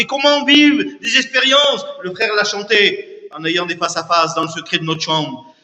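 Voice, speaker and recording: A man speaks in a raised, projected voice with lively intonation. There is noticeable background noise. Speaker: visiting preacher. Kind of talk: sermon. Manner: loud.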